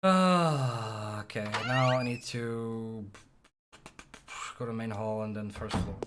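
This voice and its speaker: Speech comes at a very slow pace. Pauses are long and frequent. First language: not English. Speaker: speedrunner streaming a game. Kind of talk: live gameplay commentary. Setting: live charity stream. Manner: casual, conversational.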